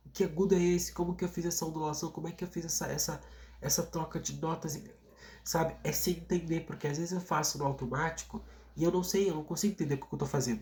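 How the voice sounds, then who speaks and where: A man talks at a very fast pace in a fairly high pitch, with vocal fry. His intonation stays fairly even. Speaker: singer and YouTuber. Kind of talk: vlog monologue. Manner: casual, hesitant with repetitions.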